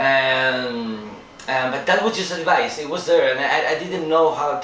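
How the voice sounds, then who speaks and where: The speaker has a Spanish accent and lively intonation, at a moderate pace. Audible room echo and noticeable background noise fill the recording. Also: man. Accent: Spanish accent in English, non-native. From Spain. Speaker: filmmaker. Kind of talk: interview. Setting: film festival. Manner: halting, searching for words.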